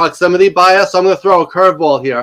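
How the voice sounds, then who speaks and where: A loud, high-pitched man's voice at a very fast pace with ordinary pitch variation. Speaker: live stream viewer asking a question. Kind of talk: live Q&A question.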